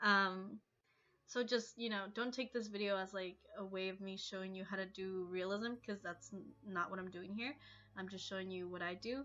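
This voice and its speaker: A woman speaks at a medium pitch. Music plays in the background. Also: fairly even intonation, moderate pace. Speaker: digital artist. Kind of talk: voice-over narration for art tutorial. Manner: hesitant, casual.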